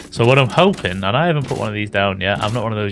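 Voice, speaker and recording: Music plays in the background as a man talks. His pitch is fairly low and his pace is very fast. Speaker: gaming YouTuber. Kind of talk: gameplay commentary. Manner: casual, rambling with self-corrections.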